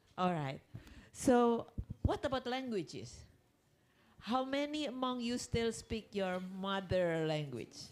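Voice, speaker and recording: A woman's fairly high voice with an Indonesian accent, very wide pitch swings, a very slow pace and long, frequent pauses. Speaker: conference speaker. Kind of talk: lecture. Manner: halting.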